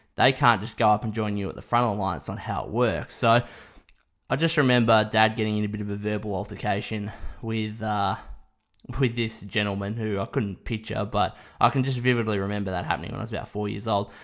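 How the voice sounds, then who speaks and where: A man with an Australian accent, fairly low in pitch, at a very fast pace with fairly even intonation. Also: very clean recording, silent background. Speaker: sports podcast host. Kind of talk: solo podcast monologue.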